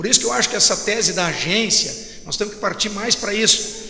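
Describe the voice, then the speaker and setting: Over noticeable background noise and audible room echo, a man with a high pitch uses a raised, projected voice. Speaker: federal congressman. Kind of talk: panel talk. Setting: stage with audience. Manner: halting, repetitive. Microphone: far from mic, loud sound system.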